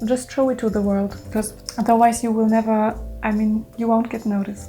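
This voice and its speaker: A woman with a German accent speaks at a moderate pace against noticeable background noise. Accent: German accent, self-described. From Germany. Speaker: freelance illustrator. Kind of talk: Q&A vlog, casual talk to camera. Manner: hesitant, with fillers.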